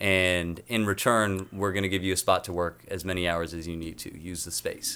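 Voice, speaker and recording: This man speaks at a moderate pace with an American accent, his very deep, low voice bright and sharp in tone, flat and monotone in intonation, with big swings in loudness on a very clean recording over a silent background. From North County, Southern California. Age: 20s. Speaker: musician. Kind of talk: casual interview.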